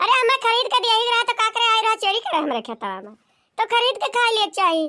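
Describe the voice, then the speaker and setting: A woman does a squeaky, cartoonish character voice at an extremely high pitch and a very fast pace, with ordinary pitch variation. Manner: scolding, indignant.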